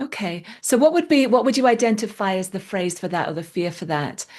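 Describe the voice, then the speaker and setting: Lively intonation marks an ordinary speaking voice delivered at a moderate pace. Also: woman, quiet background. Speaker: EFT tapping practitioner. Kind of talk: guided EFT tapping session. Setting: call.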